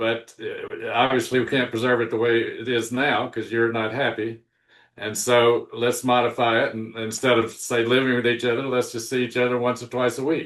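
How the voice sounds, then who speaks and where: Here a man speaks at a moderate pace and medium pitch. His intonation is monotone and flat. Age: 70s. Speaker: relationship book author. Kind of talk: interview conversation. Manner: halting, many fillers and restarts.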